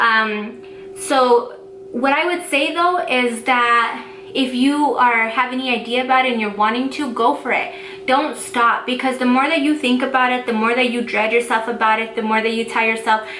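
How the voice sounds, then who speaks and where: A woman's high-pitched voice at a moderate pace with ordinary pitch variation, amid audible room echo and noticeable background noise. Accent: American. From Denver, Colorado. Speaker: small business owner and vlogger. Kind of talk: casual vlog tutorial. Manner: casual, filler-heavy.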